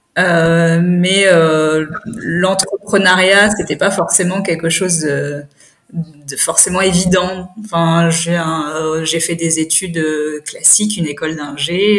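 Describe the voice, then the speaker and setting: A woman with a fairly low pitch speaks very slowly with fairly even intonation over noticeable background noise. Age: 30s. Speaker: cosmetics brand founder. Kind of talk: interview. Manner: hesitant, many fillers.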